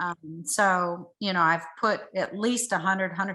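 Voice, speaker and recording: A woman's bright, sharp voice with an American accent, medium pitch, monotone, flat intonation and a moderate pace. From Texas. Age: 60s. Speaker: ultramarathon runner. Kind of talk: interview answer.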